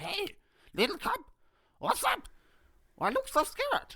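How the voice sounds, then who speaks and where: In a put-on character voice, the speaker goes extremely high in pitch at a fairly slow pace. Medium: read story. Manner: warm, encouraging.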